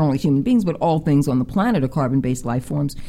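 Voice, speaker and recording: A woman talks in a very deep, low pitch while noticeable noise fills the background. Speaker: guest artist and spiritualist. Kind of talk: warm, earnest radio interview chat. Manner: effusive, gushing with gratitude, repeats words.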